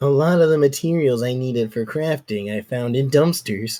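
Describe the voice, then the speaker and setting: A man uses a put-on character voice at medium pitch and a moderate pace. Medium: actual play. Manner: deadpan.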